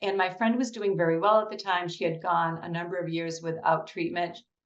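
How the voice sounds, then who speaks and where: With audible room echo, a woman talks at a medium pitch and ordinary pitch variation. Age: 60s. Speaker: cancer patient, nonprofit founder. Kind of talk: personal testimony interview.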